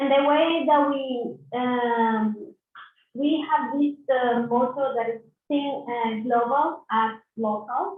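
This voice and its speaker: Speaking at a very slow pace, a woman uses a high-pitched voice. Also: ordinary pitch variation. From Colombia. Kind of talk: online panel discussion. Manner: halting. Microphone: too quiet, breaking up.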